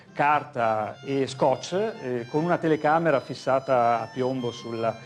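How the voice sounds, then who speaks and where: A man is speaking. Music plays in the background. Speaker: animator, filmmaker. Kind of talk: interview answer.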